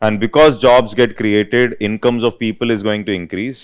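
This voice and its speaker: Speaking with an Indian accent, a man of medium pitch is heard in a very clean recording with a silent background. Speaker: UPSC economics teacher. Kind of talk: lecture. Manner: dictation pace, repeating phrases.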